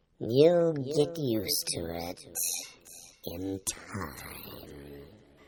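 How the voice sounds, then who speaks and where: A man puts on a character voice, speaking very slowly with very wide swings in pitch. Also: fairly low pitch for a man. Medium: read story. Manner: curt, blunt, contradicting.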